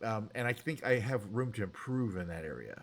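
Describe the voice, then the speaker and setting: A man mumbles in a fairly low pitch. His intonation is lively. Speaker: game and music live streamer. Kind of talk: casual live stream chat. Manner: fast; slightly mumbled, mushy enunciation.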